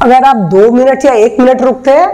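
A woman is speaking. Her pace is very slow. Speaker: yoga teacher. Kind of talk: tutorial. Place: home room.

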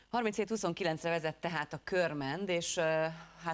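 A woman speaks at a very deep, low pitch. Her pitch varies in an ordinary way. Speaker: studio sports presenter; presenter. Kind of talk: studio analysis. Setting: TV studio. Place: studio. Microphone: lapel.

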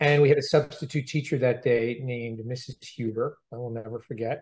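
A somewhat breathy male voice at a moderate pace over a quiet background. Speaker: interviewee. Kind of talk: interview answer. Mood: reflective, warm. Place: office. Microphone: video call.

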